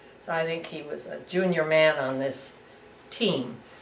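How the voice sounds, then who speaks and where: A woman speaks with a very deep, low pitch and ordinary pitch variation. Audible room echo and noticeable background noise are present. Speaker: interviewee recounting family history. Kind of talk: oral history interview. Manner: halting.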